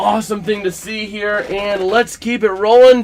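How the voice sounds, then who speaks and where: A man talks fairly slowly in a high voice, with noticeable background noise behind him. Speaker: sports streamer. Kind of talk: live reaction commentary. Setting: live stream. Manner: animated.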